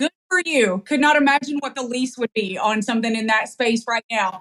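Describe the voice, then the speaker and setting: A woman with a slight Southern US accent and an animated tone. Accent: slight Southern drawl. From East Tennessee (Knoxville). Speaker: podcast host. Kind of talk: casual interview chat.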